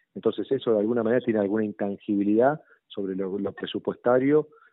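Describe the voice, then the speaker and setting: This is a man speaking. His pitch is fairly low. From Argentina. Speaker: city legislator. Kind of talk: interview. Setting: phone call.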